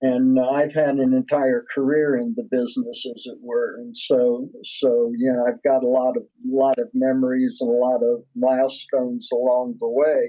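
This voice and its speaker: The man speaks at a moderate pace with hardly any pauses. His medium-pitched voice stays monotone, with flat intonation. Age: 70s. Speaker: music producer and singer-songwriter. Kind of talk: interview. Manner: halting, repeats words.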